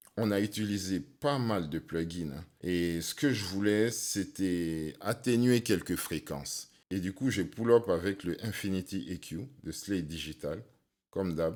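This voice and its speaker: This man has a very deep, low pitch and talks very slowly. The recording is very clean, with a silent background. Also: ordinary pitch variation. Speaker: sound engineer and rapper. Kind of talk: tutorial.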